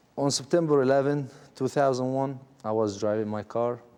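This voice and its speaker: A man with a dark, mellow tone talks at a moderate pace, his pitch varying in an ordinary way. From Israel. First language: Arabic. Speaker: former detainee. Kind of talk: testimony.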